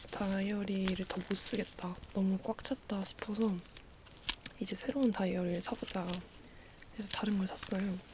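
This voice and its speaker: Long, frequent pauses break up the speech. Noticeable background noise runs underneath. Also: moderate pace. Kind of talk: ASMR talking, show-and-tell of diary supplies. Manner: natural speaking voice, not whispered.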